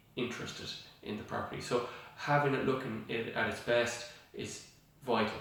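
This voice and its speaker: A man at a moderate pace, flat and monotone, with long, frequent pauses and noticeable background noise. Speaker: estate agent / auctioneer. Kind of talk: casual talk to camera. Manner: hesitant, many filler sounds.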